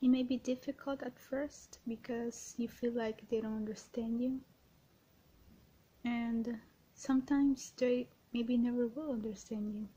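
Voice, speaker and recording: A soft-spoken woman with a high voice talks at a fairly slow pace in a dark, mellow and gentle tone, her intonation monotone and flat, with long, frequent pauses. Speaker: ASMR creator. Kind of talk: ASMR positive affirmations, personal attention. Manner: soft-spoken, gentle. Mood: gentle, reassuring. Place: home room. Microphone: webcam.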